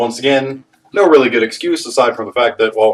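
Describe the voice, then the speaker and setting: The speaking speed is moderate. Behind it, music can be heard. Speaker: youtuber. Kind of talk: casual rant to camera. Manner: profane, animated.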